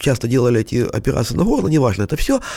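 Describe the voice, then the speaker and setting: This man's voice has a dark, mellow tone. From Kyiv, Ukraine. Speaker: collector. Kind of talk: interview.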